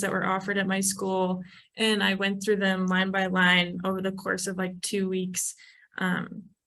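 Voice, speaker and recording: A woman speaks with an American accent and a bright, sharp tone. Room echo is audible. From US Midwest, Chicago. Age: 20s. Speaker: urban planner. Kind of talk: informal presentation to young trainees. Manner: casual, many filler ums.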